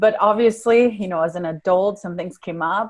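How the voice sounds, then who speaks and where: A woman speaks with a Spanish accent at a moderate pace. Her pitch varies in an ordinary way. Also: quiet background. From Venezuela. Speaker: life coach. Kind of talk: podcast interview.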